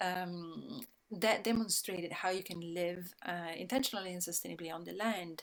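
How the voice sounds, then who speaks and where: A woman speaks with an Italian accent and fairly even intonation. Her loudness swings widely. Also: fairly low pitch for a woman, moderate pace. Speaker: sustainability speaker. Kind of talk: talk. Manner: halting, many fillers.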